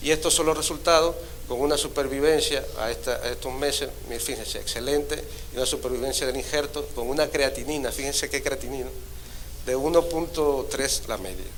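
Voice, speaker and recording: A man's fairly quick speech rings with audible echo from the room. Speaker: transplant surgeon. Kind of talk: conference talk. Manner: halting, many repetitions.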